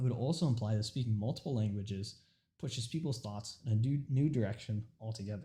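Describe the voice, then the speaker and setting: The man's voice is somewhat breathy, with a dark, mellow tone and a medium pitch. He moves at a fairly quick pace with ordinary pitch variation. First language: Urdu. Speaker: student. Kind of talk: informative speech. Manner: halting.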